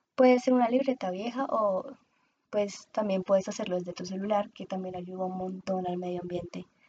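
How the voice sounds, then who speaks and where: At a moderate pace, the speaker's dark, mellow tone rises and falls with ordinary pitch variation. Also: woman, medium pitch for a woman. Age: 20s. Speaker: podcast host and communications student. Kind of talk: solo podcast monologue.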